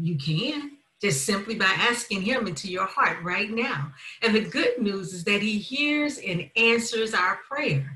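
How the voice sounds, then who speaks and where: The speech moves at a fairly slow pace, with audible room echo. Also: woman. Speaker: minister giving a talk. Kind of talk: sermon. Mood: warm, earnest. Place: home room. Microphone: webcam.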